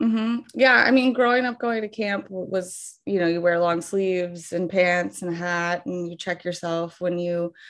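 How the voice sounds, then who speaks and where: An ordinary speaking voice from a woman, fairly low in pitch, with ordinary pitch variation, a moderate pace and a quiet background. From Ohio, US Midwest. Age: 30s. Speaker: flower farmer. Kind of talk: interview.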